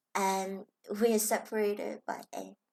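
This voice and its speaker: In a very clean recording with a silent background, a woman with a Chinese accent speaks at a fairly high pitch in a dark, mellow tone. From Hong Kong. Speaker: spiritual self-help vlogger. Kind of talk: reflective personal vlog talk.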